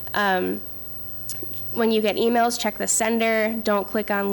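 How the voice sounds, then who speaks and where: A woman's voice at a medium pitch. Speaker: privacy lawyer on a panel. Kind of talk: panel presentation. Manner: fast.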